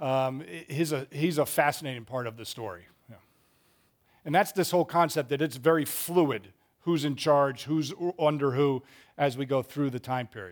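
In a very clean recording with a silent background, a man with an American accent talks in a normal speaking voice at a fairly high pitch and a moderate pace, with ordinary pitch variation and big swings in loudness. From Massachusetts, US. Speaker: Bible class teacher and school head. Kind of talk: Bible study lecture.

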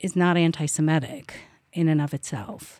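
A woman with an Israeli accent, fairly low-pitched with ordinary pitch variation, dry and close with no echo on a very clean recording with a silent background. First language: Hebrew. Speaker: political science professor. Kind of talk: academic panel discussion.

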